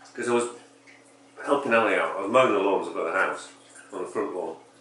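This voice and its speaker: This man rattles along very fast, his voice carrying audible room echo over noticeable background noise. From England (Yorkshire). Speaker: podcast co-host. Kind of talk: casual chat.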